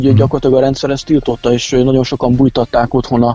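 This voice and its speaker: A man speaks at a medium pitch in a monotone, flat delivery. Music plays in the background. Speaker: head of local Polish minority council. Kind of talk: radio interview. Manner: halting.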